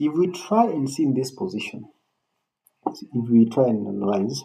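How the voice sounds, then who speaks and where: This voice has a dark, mellow tone and vocal fry, moving at a fairly slow pace through very wide pitch swings. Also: man. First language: not English. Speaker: chess coach. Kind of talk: tutorial. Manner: halting, repeats words.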